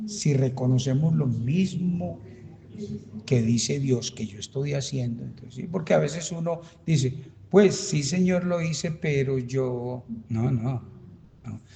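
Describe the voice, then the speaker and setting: Pausing long and often, a man talks at a fairly slow pace and medium pitch in a somewhat breathy voice with lively intonation. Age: 70s. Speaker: pastor. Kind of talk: Bible study teaching. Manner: animated.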